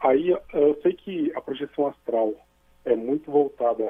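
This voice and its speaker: A man speaks with ordinary pitch variation. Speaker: caller. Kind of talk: call-in question.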